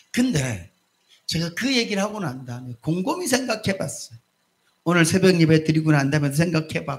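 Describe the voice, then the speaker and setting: This man's voice sits high. Its pitch moves up and down across a very wide range. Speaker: pastor. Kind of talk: sermon. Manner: not calm or slow; speaks animatedly.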